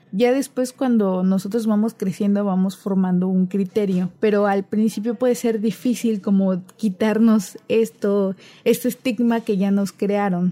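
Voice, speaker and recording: At a fairly slow pace and with hardly any pauses, a woman speaks in a dark, mellow, somewhat breathy tone at very even loudness. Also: medium pitch for a woman. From Cozumel, Quintana Roo, Mexico. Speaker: podcast host, literature student. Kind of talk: casual chat.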